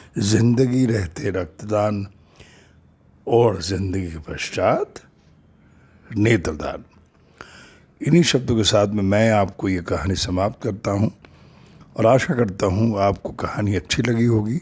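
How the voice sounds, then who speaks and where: A man speaks in a somewhat breathy voice, leaving long, frequent pauses. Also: ordinary pitch variation. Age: 60s. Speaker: storyteller and social worker. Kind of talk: narrated story with appeal to viewers.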